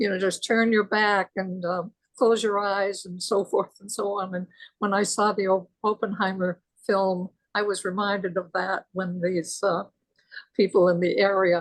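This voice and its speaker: Monotone and flat in intonation, a woman speaks at medium pitch and moderate pace in a dry, close sound with no echo. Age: 90s. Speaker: retired teacher, participant in discussion. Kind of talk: casual discussion testimony. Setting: video call.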